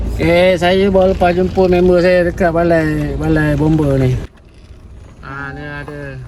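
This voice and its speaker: With noticeable background noise and audible room echo, the speech moves along at a fairly slow pace. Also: man. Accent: slight Kelantan. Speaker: travel vlogger. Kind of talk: casual travel vlog. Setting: outdoors at a market. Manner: animated.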